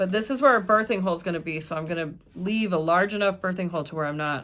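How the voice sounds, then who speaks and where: Her pace is very fast. The woman's medium pitch shows ordinary variation. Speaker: sewing pattern designer and tutorial creator. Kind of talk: casual chat; tutorial. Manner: loud.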